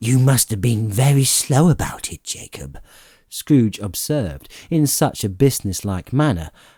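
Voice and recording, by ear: The text is heard as reading aloud in a natural voice.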